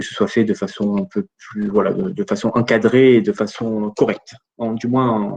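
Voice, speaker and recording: A man with a medium pitch and lively intonation keeps to a moderate pace. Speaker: data protection regulator expert. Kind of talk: webinar Q&A. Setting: online webinar. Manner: halting, many fillers.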